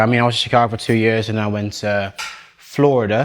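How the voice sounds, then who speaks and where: A man talks in a monotone, flat intonation at medium pitch, with noticeable background noise behind him. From Netherlands, born in Nigeria. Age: 20s. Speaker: waste and recycling supervisor, home cook. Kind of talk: casual chat while cooking.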